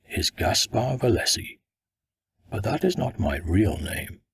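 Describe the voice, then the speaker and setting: The man's voice is a put-on character voice. Delivery is fairly slow. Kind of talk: audiobook first-person narration. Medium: read story.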